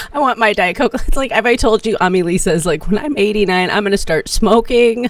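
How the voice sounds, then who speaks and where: Speech moves at a fairly quick pace in a playful tone, with very even loudness and ordinary pitch variation over noticeable background noise. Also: woman, fairly high pitch for a woman. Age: 50s. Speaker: podcast co-host. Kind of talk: casual chat.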